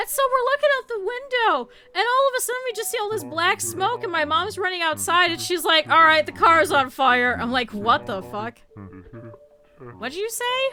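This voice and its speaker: Over noticeable background noise, a woman with an extremely high pitch speaks in a raised, projected voice at a moderate pace, her tone animated and her pitch swinging very widely. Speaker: VTuber streamer. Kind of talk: casual chat. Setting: live stream.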